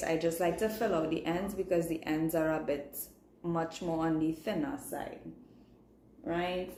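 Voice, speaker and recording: A woman with a fairly low pitch talks in a Trinidadian accent, with audible room echo around her. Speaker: beauty vlogger and makeup artist. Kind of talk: live makeup tutorial. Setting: livestream. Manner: casual, chatty.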